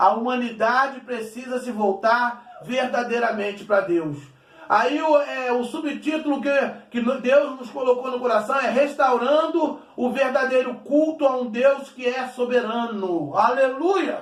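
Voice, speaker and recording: A man speaks fairly slowly at an extremely high pitch, with ordinary pitch variation. Noticeable background noise and audible room echo are present. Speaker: pastor. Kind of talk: sermon.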